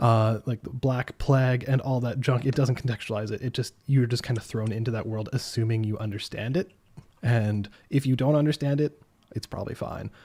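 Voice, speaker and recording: A man talks at a fairly quick pace in a medium pitch with a dark, mellow tone. His voice is somewhat breathy and his intonation fairly even. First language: French. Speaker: gaming podcast panelist. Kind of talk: casual chat.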